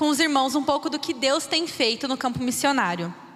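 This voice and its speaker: Over noticeable background noise, a woman uses a raised, projected voice with lively intonation at a moderate pace. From Brazil, interior of São Paulo state (Birigui). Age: 20s. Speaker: missionary. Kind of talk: church missions talk.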